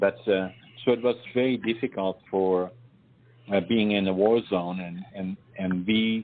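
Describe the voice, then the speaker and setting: With a Dutch accent, a man talks at a fairly slow pace in fairly even intonation, leaving long, frequent pauses. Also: fairly low pitch for a man. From northeastern Netherlands. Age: 80s+. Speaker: war survivor, author. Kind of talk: interview. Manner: halting.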